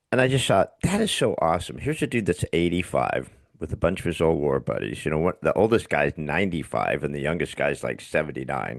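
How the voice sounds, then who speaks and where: Hardly pausing, a man talks with a very deep, low pitch, vocal fry and lively intonation. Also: fairly quick pace. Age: 60s. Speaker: podcast host. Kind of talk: casual chat.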